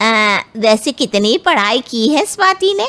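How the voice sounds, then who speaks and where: A woman performs a cartoonish character voice at a fairly slow pace. Her fairly high pitch swings very widely. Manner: condescending, bossy.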